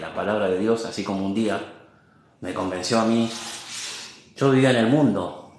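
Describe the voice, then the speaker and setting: This man's voice sits at a fairly low pitch, with ordinary pitch variation. There is audible room echo. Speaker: lay preacher. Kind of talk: sermon. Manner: halting, sometimes stutters.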